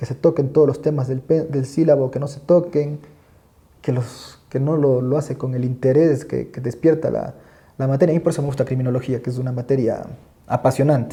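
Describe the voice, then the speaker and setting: This man's voice is fairly high in pitch, with a dark, mellow tone and a somewhat breathy quality. His intonation stays fairly even. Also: fairly quick pace. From Ecuador, coast (El Oro province). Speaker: criminal court judge and law professor. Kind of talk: podcast interview. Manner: fast; halting, many repetitions.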